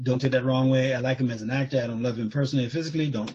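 A man with a medium pitch talks at a very fast pace, his slightly mellow tone carrying a slightly husky edge and fairly even intonation.

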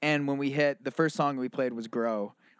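Here is a man with a plain, everyday voice. His pitch is medium and his pace fairly quick. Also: very clean recording, silent background. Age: 30s. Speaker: lead singer and songwriter in a band. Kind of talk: casual chat. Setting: in person.

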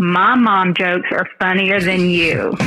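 Over music in the background, a woman speaks at a very slow pace in a Southern US accent. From US South. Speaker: listener sending in a message. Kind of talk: recorded voice message with jokes.

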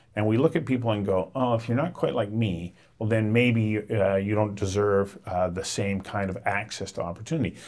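A man with a plain, everyday voice speaks at a moderate pace. His pitch is fairly low, with ordinary pitch variation. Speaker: podcast host. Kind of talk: interview intro and conversation.

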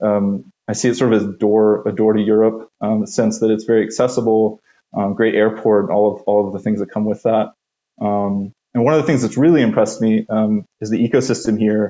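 A normal speaking voice from a man with an American accent, fairly low in pitch, fairly quick in pace, with fairly even intonation. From US. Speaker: venture capital investor. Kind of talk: podcast interview.

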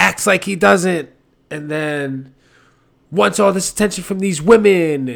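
The recording is very clean, with a silent background. A man speaks with lively intonation. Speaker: podcast host. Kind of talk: informal slang. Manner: casual, heavily profane, conversational.

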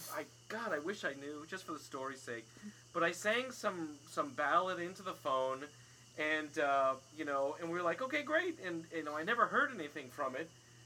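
With an American accent and lively intonation, a man speaks at a moderate pace and a fairly high pitch over noticeable background noise. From overseas; later Summit, New Jersey. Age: 40s. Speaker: podcast host and stage actor. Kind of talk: casual chat. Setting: screen porch. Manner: hesitant, many fillers.

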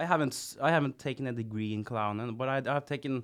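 A man with a Norwegian accent speaks at medium pitch on a very clean recording with a silent background. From Norway, Kongsberg. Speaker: clown and sound engineer. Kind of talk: casual chat. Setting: studio.

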